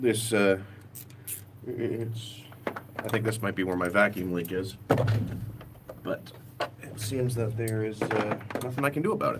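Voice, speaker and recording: Against noticeable background noise, a man with a fairly low voice and fairly even intonation speaks with long, frequent pauses. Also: moderate pace. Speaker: car DIY vlogger. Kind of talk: casual live-stream chat while working on a car. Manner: loud, voice carries. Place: street. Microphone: phone near.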